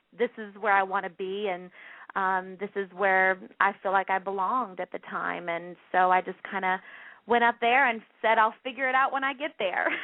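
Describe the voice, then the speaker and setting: Her pace is moderate, with ordinary pitch variation. The woman speaks with a Southern US accent. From US South, North Carolina. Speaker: plus-size model and actress. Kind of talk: radio interview.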